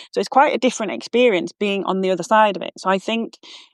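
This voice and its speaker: A woman with a Yorkshire accent talks at a fairly quick pace and a medium pitch, with ordinary pitch variation, in a dry, close recording with no echo and a quiet background. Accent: broad Yorkshire. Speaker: walking coach. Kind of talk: interview conversation. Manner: hesitant, many fillers and restarts.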